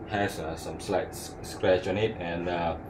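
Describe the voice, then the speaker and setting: Audible room echo colors the recording. A man's speech moves at a fairly slow pace. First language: not English. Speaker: hobbyist tool reviewer. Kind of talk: casual product review. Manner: halting, many fillers.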